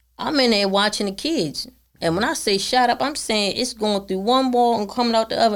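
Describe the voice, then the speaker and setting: A woman talks fairly quickly at a fairly high pitch with ordinary pitch variation, on a very clean recording with a silent background. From Baltimore, Maryland. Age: 50s. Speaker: podcast guest. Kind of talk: casual chat.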